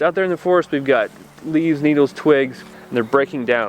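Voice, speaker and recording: A man speaks at a fairly high pitch with fairly even intonation. Noticeable background noise runs behind him. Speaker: gardening youtuber. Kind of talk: outdoor tutorial. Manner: fast.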